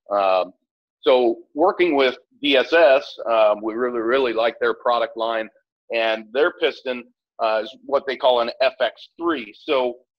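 A man talks fairly slowly, his pitch varying in an ordinary way. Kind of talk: interview answer. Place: workshop.

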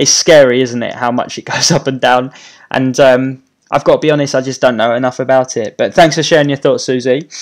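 A man speaks with a British accent at a fairly quick pace. His intonation is fairly even, and the background is quiet. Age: 30s. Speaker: YouTuber and property investor; YouTuber. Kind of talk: live stream Q&A. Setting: YouTube live stream. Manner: casual, with many fillers. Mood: friendly, relaxed. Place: home room.

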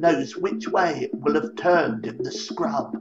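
A man speaks at a fairly slow pace over clear music in the background. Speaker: storyteller. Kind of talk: narrated essay talk. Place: home room. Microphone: webcam.

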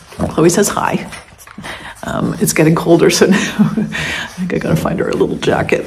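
A woman talks at a fairly quick pace with light background noise. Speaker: vlogger. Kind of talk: casual vlog chat. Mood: relaxed, cheerful. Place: home room. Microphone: phone near.

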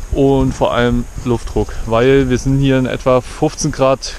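Recorded with a dry sound and no echo, a man speaks over light background noise. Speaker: road trip vlogger. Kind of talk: casual vlog chat. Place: waterside. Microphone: phone near.

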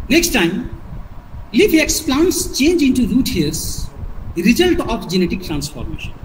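A man with an Indian accent, an extremely high pitch and very wide pitch swings, over noticeable background noise. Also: moderate pace. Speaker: biology teacher trainer. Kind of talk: lecture. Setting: video call. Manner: formal.

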